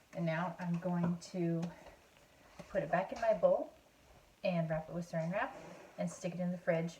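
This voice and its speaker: A quiet woman's voice, fairly low in pitch, with fairly even intonation and long, frequent pauses. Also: moderate pace. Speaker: home cooking video host. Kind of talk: cooking tutorial. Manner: quieter, hushed; hesitant, many fillers.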